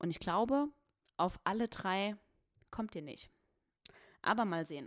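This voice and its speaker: Recorded very clean, dry and close with a silent background and no echo, a woman speaks at a moderate pace. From Saarland, Germany (Saarbrücken). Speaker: podcast host. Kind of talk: casual solo podcast talk. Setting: home recording.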